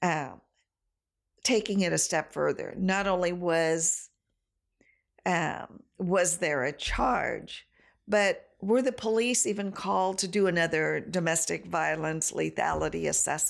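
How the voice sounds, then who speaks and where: On a very clean recording with a silent background, a woman with an American accent talks at a fairly slow pace with very even loudness. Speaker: domestic violence program director. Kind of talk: casual chat.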